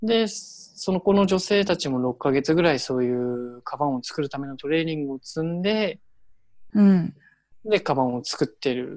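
This man has an unremarkable speaking voice, with a fairly high pitch, recorded very cleanly against a silent background. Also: lively intonation, moderate pace. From Hiroshima, Japan. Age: 20s. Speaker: local government worker volunteering abroad. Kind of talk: casual chat.

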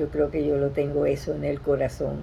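A woman talks with a Venezuelan accent. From Venezuela, Caracas. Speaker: retired teacher. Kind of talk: personal testimony. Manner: halting.

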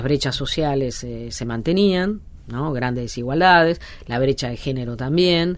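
A woman's very deep, low voice carries lively intonation. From Argentina, Alto Valle de Río Negro. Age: 50s. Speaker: sociologist and author. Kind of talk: interview. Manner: hesitant, many fillers.

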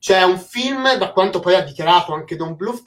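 Here a woman speaks at a medium pitch. Her intonation is lively. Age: 20s. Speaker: animation YouTuber hosting a live stream. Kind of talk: casual live-stream chat. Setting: online live stream. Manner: animated.

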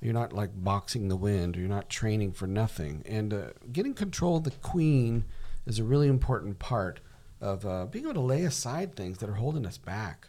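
A man speaks at a moderate pace. His tone is dark and mellow, with lively intonation. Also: fairly low pitch for a man. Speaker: podcast co-host. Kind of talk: casual podcast discussion.

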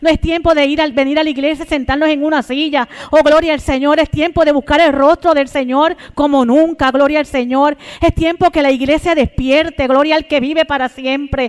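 Amid noticeable background noise, a woman speaks in a high, monotone, flat voice with very even loudness. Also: moderate pace. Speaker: preacher. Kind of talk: sermon. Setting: church. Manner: fervent, exclamatory; repetitive praise interjections, urgent.

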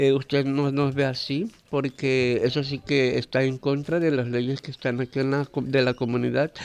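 Against a quiet background, a man with a fairly high pitch talks at a fairly slow pace in a normal speaking voice. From Kuna Yala, Panama. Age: 30s. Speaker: interviewee. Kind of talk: interview.

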